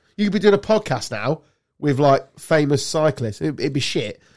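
Speaking with an English accent, a man uses a fairly high pitch and lively intonation. His pace is moderate. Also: very clean recording, silent background. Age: 50s. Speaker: podcast host. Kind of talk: casual chat.

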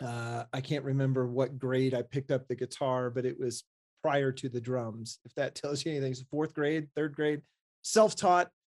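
A normal speaking voice moves at a moderate pace with fairly even intonation. The sound is dry and close, with no echo. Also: man, medium pitch for a man. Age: 40s. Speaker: architect and maker podcast co-host. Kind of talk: casual chat.

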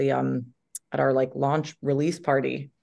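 A woman with an American accent, animated tone and fairly quick pace over a quiet background. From US Northeast. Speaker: actress. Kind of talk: casual chat. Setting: video call.

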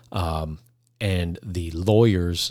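A man with an American accent speaks in a very deep, low voice that is somewhat breathy, with fairly even intonation. The recording is very clean, with a silent background. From Arizona, Phoenix. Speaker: law enforcement officer. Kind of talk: casual chat.

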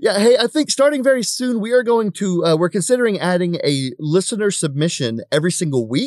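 Hardly pausing, a man talks at a fairly quick pace in a high voice with very wide pitch swings. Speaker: podcast co-host. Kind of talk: casual chat.

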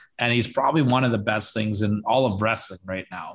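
A man's plain, everyday voice, fairly low in pitch, with ordinary pitch variation and a fairly quick pace. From Canada. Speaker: wrestling podcaster. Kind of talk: casual chat.

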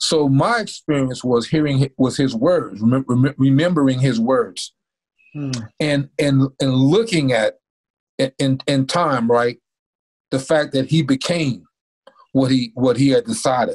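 Speaking with an American accent at a medium pitch, a man moves at a fairly slow pace with ordinary pitch variation and long, frequent pauses, in a dry, close sound with no echo. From North Carolina. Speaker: former pro football player and motivational speaker. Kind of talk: interview. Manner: halting.

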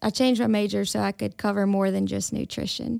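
A woman speaks with a Mississippi accent. The sound is dry and close with no echo, in a very clean recording over a silent background. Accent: US Southern (Mississippi). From Mississippi Delta (Indianola). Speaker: university extension specialist in health. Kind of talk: casual interview. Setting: studio.

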